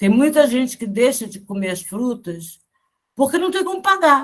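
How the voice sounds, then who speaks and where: Somewhat breathy and fairly slow, the voice makes very wide pitch swings. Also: woman. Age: 60s. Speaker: spiritist study group member. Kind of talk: casual group discussion.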